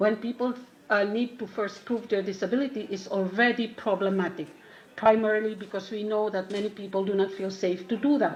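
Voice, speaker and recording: A woman's fairly even voice with a non-native accent. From Philippines. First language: not English. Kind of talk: conference talk. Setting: conference. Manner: halting.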